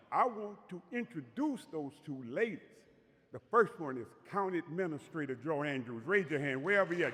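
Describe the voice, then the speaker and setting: Loud, high-pitched male voice with very wide pitch swings. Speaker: community leader. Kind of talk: ceremony speech.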